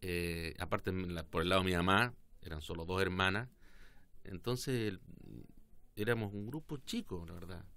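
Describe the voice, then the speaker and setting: This man has a very deep, low pitch and a bright, sharp tone, speaking at a moderate pace with ordinary pitch variation and long, frequent pauses. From southern Chile, Osorno; southern Chile. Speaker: politician. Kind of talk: interview. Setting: studio. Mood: relaxed, reflective. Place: studio. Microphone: studio mic.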